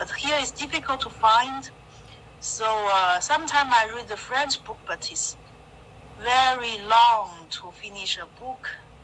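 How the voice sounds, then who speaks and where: The speech moves at a fairly slow pace with ordinary pitch variation. Loudness swings widely, and there is noticeable background noise. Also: woman, high pitch for a woman. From China. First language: Chinese. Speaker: adult English student. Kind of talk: online English lesson. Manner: halting.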